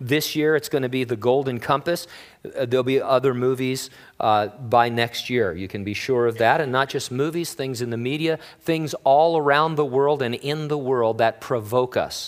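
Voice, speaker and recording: A man with an American accent speaks at a medium pitch with ordinary pitch variation, an ordinary speaking voice. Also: moderate pace. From Southern California. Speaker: pastor. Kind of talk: sermon.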